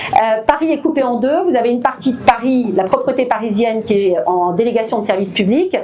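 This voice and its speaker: A woman speaks at a fairly high pitch and moderate pace with lively intonation. Audible room echo and noticeable background noise fill the recording. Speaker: local politician. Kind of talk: public meeting speech. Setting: public meeting hall with audience. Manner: hesitant, many fillers.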